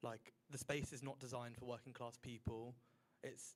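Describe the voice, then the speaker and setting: A man speaks in a strong Southern English accent. His pitch is medium and his pace moderate. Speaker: student council member. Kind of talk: group discussion.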